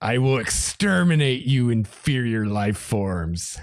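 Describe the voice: A put-on character voice from a man, medium in pitch and at a fairly slow pace.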